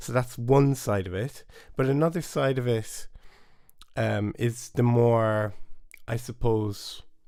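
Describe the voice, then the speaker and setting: In a Cork accent, a man speaks very slowly with long, frequent pauses and ordinary pitch variation. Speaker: bodhrán teacher. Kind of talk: live stream lesson chat. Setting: home studio, live stream. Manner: casual, hesitant.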